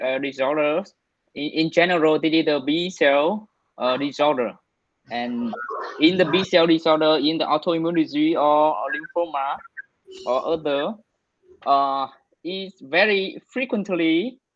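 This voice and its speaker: Fairly slow delivery with a Vietnamese accent. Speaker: physician presenting at grand rounds. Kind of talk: medical case discussion. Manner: halting.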